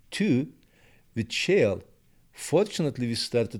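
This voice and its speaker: Speaking at a moderate pace with a Turkish accent and lively intonation, a man comes through on a very clean recording with a silent background. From Turkey. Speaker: petroleum engineering professor. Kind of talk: interview.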